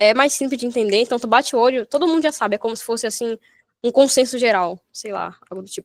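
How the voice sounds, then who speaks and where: The speech comes at a very fast pace with big swings in loudness and ordinary pitch variation. The sound is dry and close, with no echo. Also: woman, high pitch for a woman. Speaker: programming instructor. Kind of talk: online coding workshop lesson. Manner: animated.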